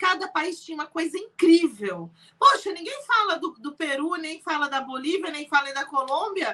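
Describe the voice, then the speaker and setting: At a moderate pace, a woman projects a raised voice at an extremely high pitch, animated and bright, sharp in tone, with lively intonation and big swings in loudness. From Brazil. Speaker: entrepreneur. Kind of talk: interview.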